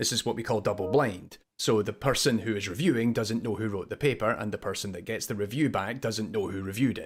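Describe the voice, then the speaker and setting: Captured in a very clean recording with a silent background, a man with a Scottish accent speaks at medium pitch with ordinary pitch variation. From Scotland. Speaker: web show co-host, games academic. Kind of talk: casual chat.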